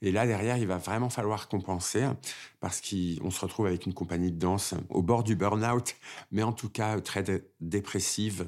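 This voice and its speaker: At a moderate pace, a man with an unremarkable speaking voice talks at a fairly low pitch with fairly even intonation, in a very clean recording with a silent background. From Paris suburbs and Oise, France, Algerian family. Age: 50s. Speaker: dancer. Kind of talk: personal testimony.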